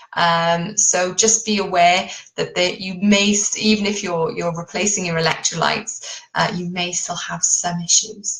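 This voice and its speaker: A woman with a British accent speaks at a fairly slow pace with monotone, flat intonation and hardly any pauses. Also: medium pitch for a woman. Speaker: keto diet coach. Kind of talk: live stream talk. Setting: live Facebook video. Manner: informal.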